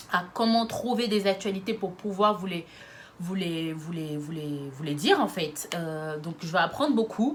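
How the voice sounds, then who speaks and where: A woman is speaking. Her intonation is lively. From France, Lyon. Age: 20s. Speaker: YouTuber. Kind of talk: casual vlog monologue.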